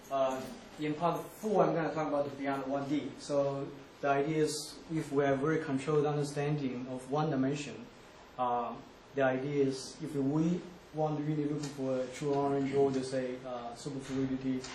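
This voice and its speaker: A man speaks at a fairly high pitch with a monotone, flat intonation. Noticeable background noise and audible room echo come through. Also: moderate pace. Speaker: physicist giving a talk. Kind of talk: lecture. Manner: hesitant, many fillers.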